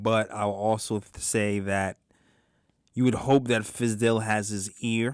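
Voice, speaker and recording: A man with an American accent, fairly low in pitch and monotone and flat in intonation, in a dry sound with no echo over a quiet background. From Brooklyn, New York; New York. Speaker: sports podcast co-host. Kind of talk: casual sports talk show. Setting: studio. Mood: relaxed, thoughtful. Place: studio. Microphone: studio mic.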